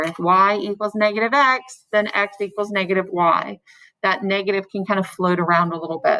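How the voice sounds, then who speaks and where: A woman speaks at a medium pitch with a bright, sharp tone and fairly even intonation. The recording is very clean with a silent background, the sound dry and close with no echo. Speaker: math teacher. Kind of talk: lecture. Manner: fast.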